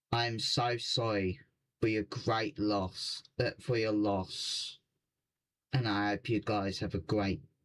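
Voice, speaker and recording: On a very clean recording with a silent background, the voice moves at a very slow pace, with very even loudness and fairly even intonation. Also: man, fairly low pitch for a man. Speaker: gaming streamer. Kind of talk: live stream reaction. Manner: halting.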